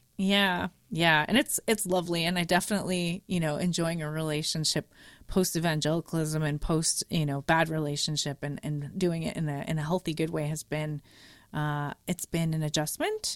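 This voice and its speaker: A woman's plain, everyday voice with a Canadian accent, fairly low in pitch, at a moderate pace, in a very clean, silent recording with a dry, close sound and no echo. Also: fairly even intonation. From Canada, Montreal. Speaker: podcaster. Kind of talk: casual chat.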